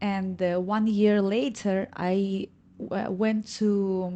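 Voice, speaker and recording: Against a quiet background, a woman speaks at a medium pitch with a dark, mellow tone. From Ukraine. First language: Russian or Ukrainian. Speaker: reggaeton singer. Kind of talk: podcast interview. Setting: studio. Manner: halting, searching for English words.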